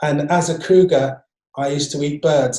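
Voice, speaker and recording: A man talks at a moderate pace, fairly high in pitch. His tone is dark and mellow, and somewhat breathy. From London, Wembley (northwest London). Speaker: urban birder, broadcaster and speaker. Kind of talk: online presentation talk. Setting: video call.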